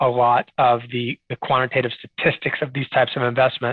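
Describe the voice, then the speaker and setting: Talking at a fairly quick pace, a man with an American accent and a plain, everyday voice keeps a medium pitch and fairly even intonation. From Texas, Dallas-Fort Worth area. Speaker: portfolio manager. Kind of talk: interview.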